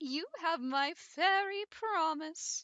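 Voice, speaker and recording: An extremely high, squeaky, put-on character voice from a woman. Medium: read story. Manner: kind, reassuring.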